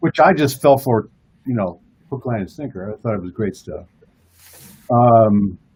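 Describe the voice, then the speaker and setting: With lively intonation and big swings in loudness, a man at a medium pitch talks at a moderate pace in a somewhat breathy voice, leaving long, frequent pauses. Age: 60s. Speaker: comic book artist. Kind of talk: casual chat.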